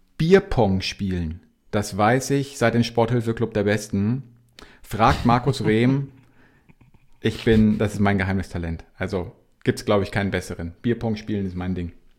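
Pausing long and often, a man speaks at a moderate pace with a fairly low pitch and ordinary pitch variation. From Bavaria (Regensburg). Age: 40s. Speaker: para-cyclist. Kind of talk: interview.

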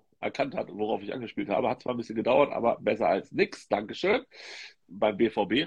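A man talks at a fairly quick pace with very wide pitch swings. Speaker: football tipping podcast host. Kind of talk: casual chat. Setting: Instagram live video stream.

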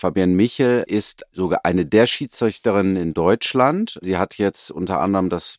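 A man talks at a moderate pace with hardly any pauses. The recording is very clean, with a silent background and a dry, close sound with no echo. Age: 40s. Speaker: sports scientist and company representative. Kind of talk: casual interview. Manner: animated.

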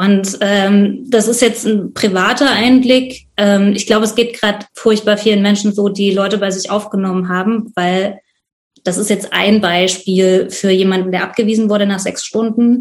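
This woman talks at a medium pitch in a monotone, flat delivery. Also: moderate pace. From Leipzig, Saxony, eastern Germany. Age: 30s. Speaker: volunteer host of refugees. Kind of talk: interview.

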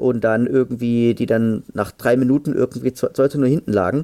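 With a dark, mellow tone and ordinary pitch variation, a man speaks in a dry, close recording with no echo. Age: 30s. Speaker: football fan podcaster. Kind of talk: casual chat.

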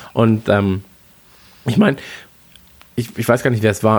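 The delivery is fairly quick, and the intonation stays fairly even. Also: man. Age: 30s. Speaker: football fan podcast co-host. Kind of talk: casual chat.

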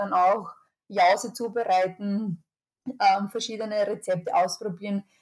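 A woman's medium pitch in a monotone, flat intonation. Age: 30s. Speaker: public health officer. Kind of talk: interview. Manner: halting, with fillers and repeated words.

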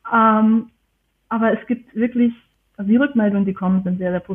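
A woman speaks at a very fast pace in a fairly high pitch. Her intonation stays fairly even. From Germany. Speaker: historian and archivist. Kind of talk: interview. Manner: halting, many fillers.

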